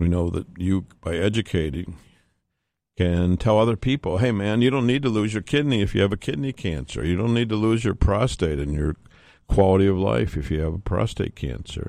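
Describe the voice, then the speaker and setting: At a fairly quick pace, an ordinary speaking voice carries lively intonation. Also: man, fairly low pitch for a man. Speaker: radiation oncologist taking calls. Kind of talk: radio call-in show. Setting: studio.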